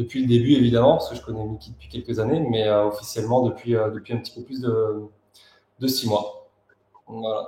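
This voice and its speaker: With big swings in loudness, a man talks at a fairly quick pace in a medium pitch and fairly even intonation, leaving long, frequent pauses. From Pau, southwestern France. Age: 30s. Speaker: communication agency manager. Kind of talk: interview. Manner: hesitant.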